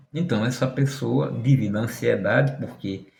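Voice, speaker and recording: A man speaks at a medium pitch with vocal fry. Room echo is audible. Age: 60s. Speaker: tarot reader and occultist. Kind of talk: monologue to camera.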